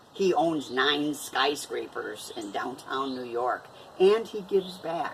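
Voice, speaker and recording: A woman's very deep, low voice at a very slow pace with very wide pitch swings, plus audible room echo and noticeable background noise. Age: 60s. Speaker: vlogger. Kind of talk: casual vlog talk. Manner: halting, many fillers.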